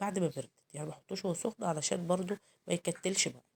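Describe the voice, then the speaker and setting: Fairly low in pitch with ordinary variation, a woman speaks with an Egyptian accent. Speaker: cooking channel host. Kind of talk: cooking tutorial. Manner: hesitant, many fillers.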